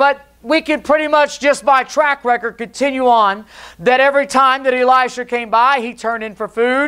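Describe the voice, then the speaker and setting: Against a quiet background, a man speaks in a bright, sharp tone. His pitch variation is ordinary. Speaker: preacher. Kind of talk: sermon. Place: church.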